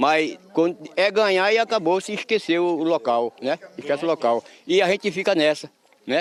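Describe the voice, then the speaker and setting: With ordinary pitch variation, a man speaks in a high pitch in a dry, close sound with no echo. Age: 70s. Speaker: local resident. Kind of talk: street interview. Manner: halting.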